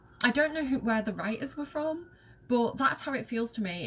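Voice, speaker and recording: A woman with a Mancunian accent speaks at a high pitch and moderate pace with ordinary pitch variation. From northern England, Manchester. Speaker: video game streamer. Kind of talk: gameplay commentary. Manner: animated.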